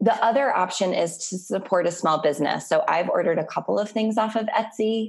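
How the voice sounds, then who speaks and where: A woman with a plain, everyday voice talks at a fairly quick pace in a fairly high pitch, with ordinary pitch variation and hardly any pauses. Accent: American. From Atlanta, US South. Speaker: podcast host. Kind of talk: casual interview conversation.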